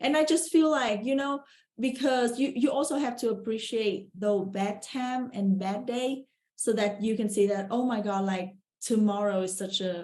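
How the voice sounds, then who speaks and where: A woman speaks at a moderate pace in a dark, mellow tone, somewhat breathy, her pitch fairly high with ordinary variation. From Vietnam. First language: Vietnamese. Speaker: real estate investor. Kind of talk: podcast interview.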